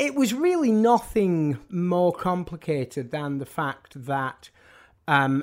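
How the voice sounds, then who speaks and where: With a northern English accent, a man talks using lively intonation. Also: very clean recording, silent background. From northern England. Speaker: music journalist and author. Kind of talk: casual interview conversation. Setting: studio. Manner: halting, many false starts and repetitions.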